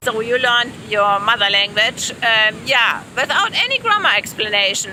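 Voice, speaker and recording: Over noticeable background noise, a woman with a German accent talks at a fairly slow pace and fairly high pitch. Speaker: language teacher. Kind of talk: casual chat. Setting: outdoors at the beach.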